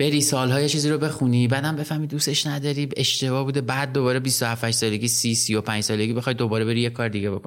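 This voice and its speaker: A man with a medium pitch rattles along at a very fast pace, with fairly even intonation, very even loudness, and hardly any pauses. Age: 40s. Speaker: podcast host. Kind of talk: casual interview.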